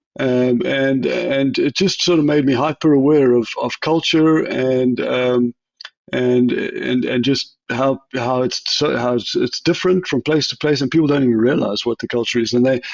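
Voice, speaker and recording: A man with a South African accent speaks at a moderate pace and medium pitch. His intonation stays fairly even. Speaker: chief technology officer. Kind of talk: interview. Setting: podcast. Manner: hesitant, many fillers and restarts.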